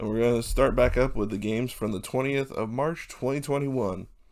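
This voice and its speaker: A man talks at a medium pitch with ordinary pitch variation. His is an unremarkable speaking voice. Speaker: hockey YouTuber. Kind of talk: sports recap commentary. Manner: casual.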